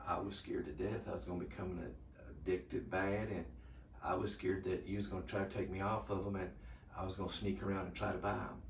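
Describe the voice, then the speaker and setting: A man with an American accent speaks very fast in a very deep, low voice, with ordinary pitch variation and audible room echo. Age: 60s. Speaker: retired EMS worker, patient. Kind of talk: patient testimony. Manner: halting.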